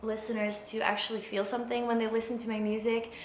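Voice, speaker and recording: With a Flemish accent, a woman speaks at a fairly high pitch amid audible room echo. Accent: Belgian (Flemish) accent in English. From Belgium. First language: not English. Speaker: singer-songwriter, vlogger. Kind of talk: casual vlog monologue. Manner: hesitant, many fillers.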